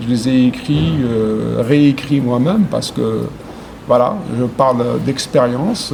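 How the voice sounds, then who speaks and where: An Arabic accent over noticeable background noise. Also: man. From Algeria. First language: Arabic (speaking French). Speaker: poet. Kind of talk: interview. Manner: halting, many hesitations.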